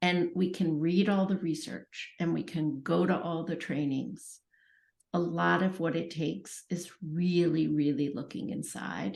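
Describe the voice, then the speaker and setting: Against a quiet background, a woman speaks fairly slowly in a fairly low pitch with vocal fry. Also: ordinary pitch variation. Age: 60s. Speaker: author and early childhood educator. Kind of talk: podcast interview.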